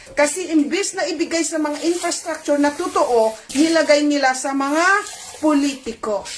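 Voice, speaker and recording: A woman's high-pitched voice with ordinary pitch variation, set against noticeable background noise. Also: moderate pace. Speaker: channel host, commentator. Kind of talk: online commentary video. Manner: emotional, agitated.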